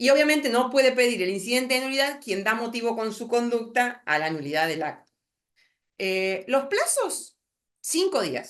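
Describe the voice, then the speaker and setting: A woman talks in a Rioplatense accent. Her pitch is high and swings very widely. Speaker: lawyer lecturer. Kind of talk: lecture. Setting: video call. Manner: fast; halting.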